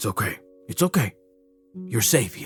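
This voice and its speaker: A raspy, put-on character voice from a man at medium pitch, dry and close with no echo, faint music in the background. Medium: actual play. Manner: calm, paternal.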